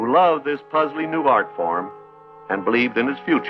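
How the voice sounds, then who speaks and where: There is music in the background as a man speaks. His pitch is fairly high and his pace moderate. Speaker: television host. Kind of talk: educational television narration.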